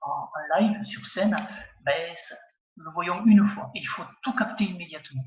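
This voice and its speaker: A man's high-pitched voice at a fairly slow pace. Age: 60s. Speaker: community centre director and amateur magician, jury member. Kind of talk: interview. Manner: hesitant, many fillers.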